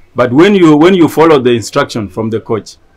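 A man talks at a fairly quick pace. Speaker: refugee athlete. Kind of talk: live online workout session. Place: street. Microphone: phone near.

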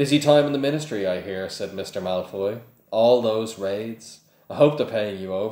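The clip is plain reading aloud.

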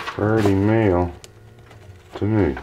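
Against noticeable background noise, a man speaks at a fairly low pitch with ordinary pitch variation. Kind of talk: casual vlog chat. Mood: pleased, laughing. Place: workshop. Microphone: camera far.

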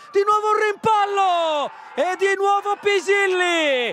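Shouting at a very slow pace, a man hits an extremely high pitch while keeping ordinary pitch variation. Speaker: football commentator. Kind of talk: live football commentary over match highlights, breathless play-by-play.

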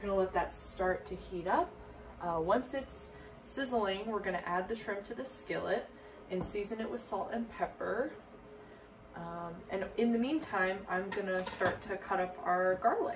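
A woman speaks fairly slowly, her pitch varying in an ordinary way, with noticeable background noise behind her. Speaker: cooking demonstrator. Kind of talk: tutorial. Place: kitchen. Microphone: camera far.

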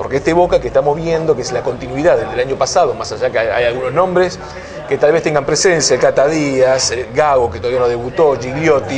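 Noticeable background noise runs throughout. Over it, a man speaks at a fairly quick pace. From Argentina. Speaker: football journalist and TV host; football journalist, TV host. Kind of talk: casual football discussion. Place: cafe.

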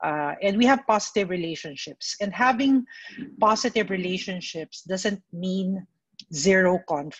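A woman speaks at a fairly slow pace in a somewhat breathy voice with lively intonation. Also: quiet background. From Philippines. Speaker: mental health speaker; speaker. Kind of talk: presentation. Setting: video call webinar. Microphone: video call.

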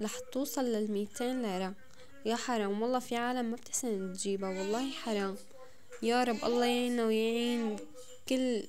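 With a Damascene accent, a woman talks at a fairly high pitch and a moderate pace. Her intonation is fairly even, her loudness very even, and noticeable background noise is present. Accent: Damascene Levantine Arabic. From Syria, Damascus. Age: 20s. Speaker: home vlogger, mother; home vlogger. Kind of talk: casual vlog narration. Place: home room. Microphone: phone near.

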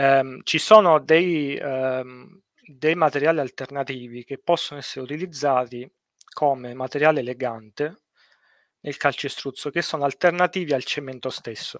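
Against a quiet background and in a dry sound with no echo, a man speaks at a fairly slow pace in a fairly high voice, with fairly even intonation and big swings in loudness. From Sicily, Italy. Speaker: structural engineer; guest. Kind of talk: casual interview on a livestream. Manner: hesitant, many fillers and repetitions. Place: home room. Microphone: headset.

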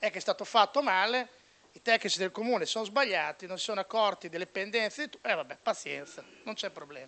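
Raised and projected, a man's voice has a bright, sharp tone and high pitch, moving at a fairly quick pace with ordinary pitch variation and big swings in loudness. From Bologna, Italy; Italy. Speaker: sports journalist. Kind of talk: panel debate speech. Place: meeting room. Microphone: handheld.

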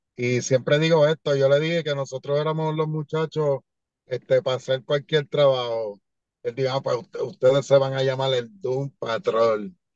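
Against a quiet background, a man speaks in a normal speaking voice at a moderate pace with fairly even intonation, the sound dry with no echo. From Puerto Rico. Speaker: professional wrestler; podcast guest. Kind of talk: casual interview. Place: car. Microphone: video call.

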